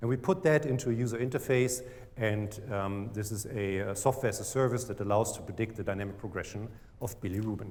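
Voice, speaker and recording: Speech comes at a very fast pace in a German accent. Pitch varies in an ordinary way. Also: man, medium pitch for a man. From Germany. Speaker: startup CEO. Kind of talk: pitch presentation.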